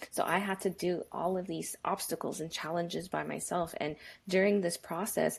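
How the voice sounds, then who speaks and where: A woman at a fairly low pitch over a quiet background. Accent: Spanish. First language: Spanish. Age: 30s. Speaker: engineer. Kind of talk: podcast interview. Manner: animated.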